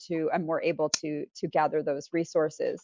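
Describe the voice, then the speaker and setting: Delivered at a moderate pace, this is an unremarkable speaking voice. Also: woman. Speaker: resilience strategy consultant. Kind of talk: slide presentation.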